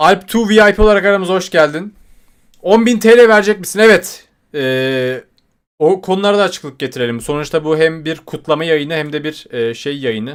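This man has a fairly high voice and an animated tone. His intonation is lively. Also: moderate pace. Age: 20s. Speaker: YouTuber. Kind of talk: livestream chat.

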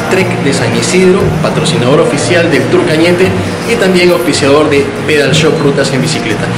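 Loud background noise under a man's moderate pace. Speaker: cycling vlogger. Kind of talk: casual vlog chat. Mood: upbeat, optimistic. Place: shop. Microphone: phone near.

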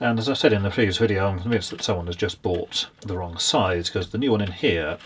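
A man speaks in a normal speaking voice, fairly low in pitch with ordinary pitch variation and a fairly quick pace. Light background noise is present. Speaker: presenter. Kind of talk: tutorial. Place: workshop.

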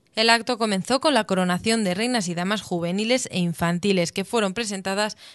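She speaks at a fairly quick pace, and her voice is a plain, everyday voice. The woman's pitch is medium, with ordinary pitch variation. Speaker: local news reporter. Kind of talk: scripted news narration recounting the festival event. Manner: formal, even, measured reporting pace.

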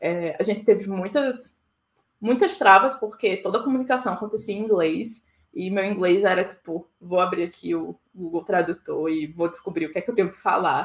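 At a moderate pace, a woman speaks with a medium pitch and ordinary pitch variation, her loudness swinging widely. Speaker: conference keynote speaker. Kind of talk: conference talk.

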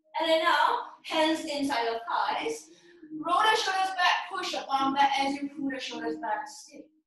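A woman with a high pitch talks at a fairly slow pace, her pitch swinging very widely and her loudness rising and falling sharply, in strong room echo. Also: quiet background. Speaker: yoga instructor. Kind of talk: guided yoga class instruction. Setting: home studio, live online class on Zoom. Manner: playful, upbeat, bursts of laughter. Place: home room. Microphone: camera far.

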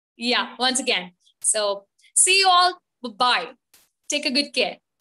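A woman uses a raised, projected voice with a bright, sharp tone at a very slow pace. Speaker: webinar host. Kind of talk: live webinar hosting. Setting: video call. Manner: frequent fillers.

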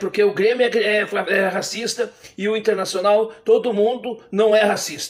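A man's high-pitched voice comes over a quiet background. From Porto Alegre, southern Brazil; Rio Grande do Sul, Brazil. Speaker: online commentator. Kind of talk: opinion monologue. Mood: indignant, condemning. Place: home room. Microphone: webcam.

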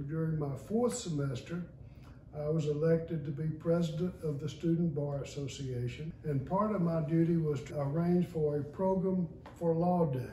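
There is light background noise and audible room echo as a man talks in a fairly high pitch with ordinary pitch variation. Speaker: retired lawyer and judge, law school alumnus. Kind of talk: oral history recollection. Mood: warm, anecdotal. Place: home room. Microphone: camera far.

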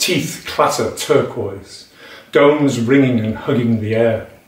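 A man's fairly even intonation at a fairly slow pace, with audible room echo. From England, Nottinghamshire. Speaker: poet. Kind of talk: poetry reading of a dense, rhythmic, imagistic free-verse poem. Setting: home recording to camera. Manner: hesitant, filler-laden intro before the poem; rhythmic, percussive delivery of tumbling word lists. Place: home room. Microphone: webcam.

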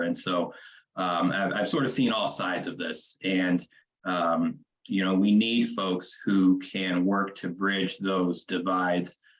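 In a Midwestern American accent, a man speaks with a very deep, low pitch. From Kansas City, Missouri (east side). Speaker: city council candidate. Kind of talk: candidate forum answer.

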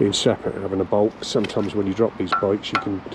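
Noticeable background noise sits behind a man's fairly low voice, heard in a dry sound with no echo. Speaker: motorcycle reviewer. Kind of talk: casual vlog review. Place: waterside. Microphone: phone near.

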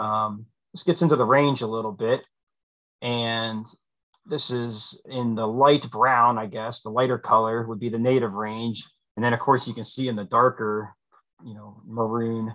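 With an American accent, a man of medium pitch speaks in a bright, sharp tone with fairly even intonation and big swings in loudness over a quiet background. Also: moderate pace. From central Pennsylvania. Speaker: fisheries biologist; guest. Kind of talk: presentation. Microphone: video call.

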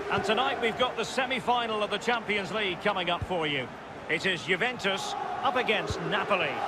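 Noticeable background noise accompanies a man who talks fairly quickly in a high voice, his pitch varying in an ordinary way. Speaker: football commentator. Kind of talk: live football commentary. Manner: fast-paced, clipped play-by-play delivery.

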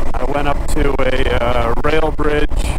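Against loud background noise, a man speaks at a very slow pace in a dry sound with no echo. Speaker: motorcycle vlogger. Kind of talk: casual vlog chat. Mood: relaxed, slightly grumbling. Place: motorbike.

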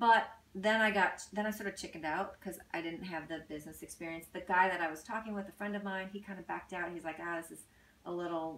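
Amid audible room echo, a woman talks at a very fast pace with fairly even intonation. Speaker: technology company founder and president. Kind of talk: interview. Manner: soft-spoken. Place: home room. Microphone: camera far.

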